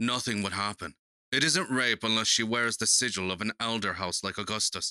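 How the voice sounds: Fairly even intonation in a natural reading voice, set against a quiet background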